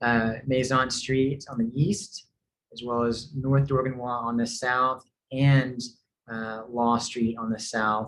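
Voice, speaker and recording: A man speaks very slowly with a slight Tennessee accent, his intonation fairly even. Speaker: real estate developer representative. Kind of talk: community presentation. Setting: online meeting with screen share. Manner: hesitant, many fillers.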